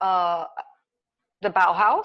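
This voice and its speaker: Very slow speech from a woman with an American accent. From US South, Kentucky. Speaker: artist. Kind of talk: interview.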